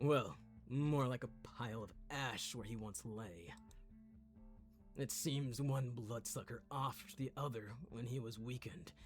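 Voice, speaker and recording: A put-on character voice, raspy and rumbling, sits at a low-to-middle pitch and moves at a fairly slow pace. Clear music plays in the background. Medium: game stream. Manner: calm, friendly, polite.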